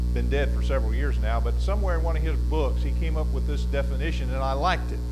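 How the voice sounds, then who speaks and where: With music in the background, a man speaks at a very fast pace. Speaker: preacher teaching a class. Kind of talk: lecture. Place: church.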